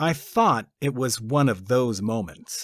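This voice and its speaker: On a very clean recording with a silent background, a man with an ordinary speaking voice talks at medium pitch with lively intonation. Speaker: audiobook narrator. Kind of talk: audiobook narration, first-person fiction.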